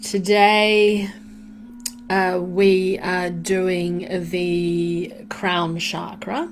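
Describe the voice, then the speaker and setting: Against noticeable background noise, a woman speaks very slowly at a medium pitch. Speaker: meditation guide. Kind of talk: casual live-stream greeting. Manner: warm, upbeat.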